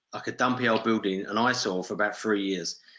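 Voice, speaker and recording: Ordinary pitch variation from a man in a British accent. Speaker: real estate investor. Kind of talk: webinar talk. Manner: casual, anecdotal.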